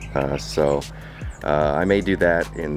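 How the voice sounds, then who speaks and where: With very deep, low pitch, a man talks as music plays behind him. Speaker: car enthusiast YouTuber. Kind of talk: casual vlog talk to camera.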